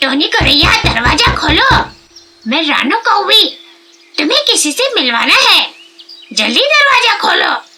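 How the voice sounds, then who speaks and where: In a cartoonish character voice, a woman speaks at a fairly slow pace and an extremely high pitch, with very wide pitch swings and long, frequent pauses. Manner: prying, emphatic.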